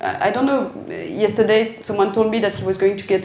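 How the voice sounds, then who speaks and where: A woman talks at a very fast pace in a fairly high pitch. Room echo is audible. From France. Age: 40s. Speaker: designer. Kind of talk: Q&A talk.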